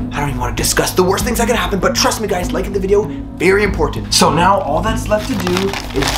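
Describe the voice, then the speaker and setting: Clear music plays in the background. A man is speaking over it. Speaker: vlogger. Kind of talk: casual vlog chat. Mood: playful secretive tone. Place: home room. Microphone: phone near.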